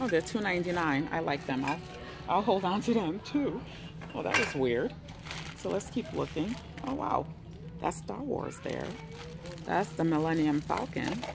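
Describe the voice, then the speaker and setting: Noticeable background noise sits behind a woman's voice. She speaks at a fairly slow pace with long, frequent pauses. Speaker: thrift shopper vlogger. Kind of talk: casual vlog chat. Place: shop. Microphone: phone near.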